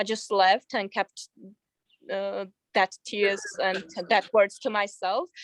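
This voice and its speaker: A woman speaks at a very slow pace with long, frequent pauses and vocal fry. Her pitch is medium, her intonation fairly even, and the sound dry and close with no echo. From Georgia. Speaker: artist. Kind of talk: interview. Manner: halting, many fillers.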